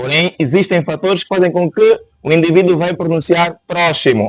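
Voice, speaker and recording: A man with a Kikongo accent at a moderate pace. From Angola. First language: Kikongo (speaking Portuguese). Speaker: linguistics teacher. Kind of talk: interview on linguistics. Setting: podcast studio.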